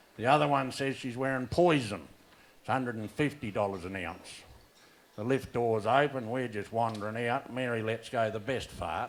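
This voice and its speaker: A man with an Australian accent, medium in pitch. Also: ordinary pitch variation, moderate pace. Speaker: stand-up comedian. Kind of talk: stand-up comedy set. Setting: live venue.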